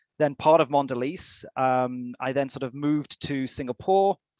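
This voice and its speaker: Against a quiet background, a man with a British accent talks at a moderate pace and medium pitch, with ordinary pitch variation and a dry, close sound with no echo. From UK. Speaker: HR executive. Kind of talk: webinar interview.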